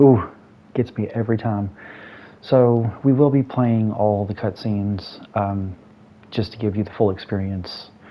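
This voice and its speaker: Speaking fairly slowly, a man with a fairly low pitch and a dark, mellow tone keeps his intonation fairly even. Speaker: gaming YouTuber. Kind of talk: let's play commentary. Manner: casual, halting with fillers.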